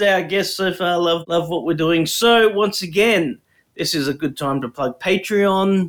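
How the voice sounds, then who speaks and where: Speaking at a moderate pace, a man with an Australian accent has a high-pitched voice. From Brisbane, Australia. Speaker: podcast co-host. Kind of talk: casual chat.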